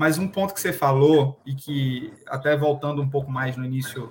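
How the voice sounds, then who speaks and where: Speaking at a moderate pace, a man with a fairly high voice keeps his intonation fairly even while noticeable background noise runs underneath. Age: 30s. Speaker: podcast host. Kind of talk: interview.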